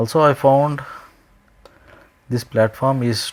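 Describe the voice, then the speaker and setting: A man speaks with an Indian accent at a fairly slow pace. His intonation stays fairly even. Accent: Indian English (Telugu). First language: Telugu. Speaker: indie game developer. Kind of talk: screen-recorded tutorial. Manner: casual, with frequent hesitations and self-corrections.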